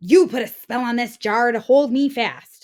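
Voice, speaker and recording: At a moderate speed, a put-on character voice is performed. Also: woman. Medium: read story.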